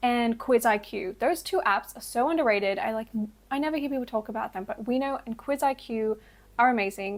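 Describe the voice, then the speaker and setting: With an Australian accent, a woman talks at a fairly high pitch with ordinary pitch variation. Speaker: language learning vlogger. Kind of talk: casual vlog monologue.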